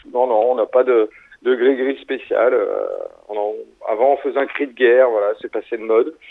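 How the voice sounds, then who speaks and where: This man talks at a moderate pace, broken by long, frequent pauses. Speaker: rock musician. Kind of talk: interview. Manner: halting with repetitions.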